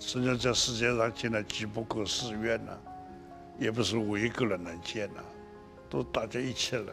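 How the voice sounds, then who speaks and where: A man with a fairly low pitch and ordinary pitch variation, clear music playing in the background. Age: 80s+. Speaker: Buddhist monk. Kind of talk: interview answer. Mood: warm, cheerful. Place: studio. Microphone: lapel.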